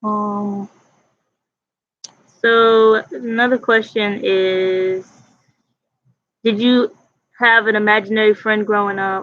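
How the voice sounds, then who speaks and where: Speaking at a very slow pace, a woman keeps a monotone, flat intonation. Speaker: vlogger. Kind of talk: casual chat. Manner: loud.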